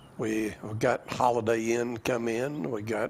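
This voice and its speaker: A man with an Alabama accent at a very slow pace, over noticeable background noise. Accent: Southern US (Alabama). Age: 80s+. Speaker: former small-town mayor. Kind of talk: news interview.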